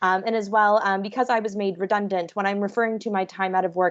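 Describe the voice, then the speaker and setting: A woman at a medium pitch, with fairly even intonation. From Canada, Vancouver. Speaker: hospitality professional. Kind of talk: webinar talk. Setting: video call.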